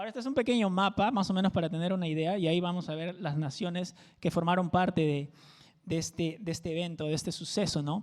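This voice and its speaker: In a Peruvian Amazon accent, the speech moves at a very fast pace in a very clean recording with a silent background. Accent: Peruvian jungle (selva) accent, sing-song. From Peru, Amazon jungle region (Tingo María). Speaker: pastor. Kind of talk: sermon.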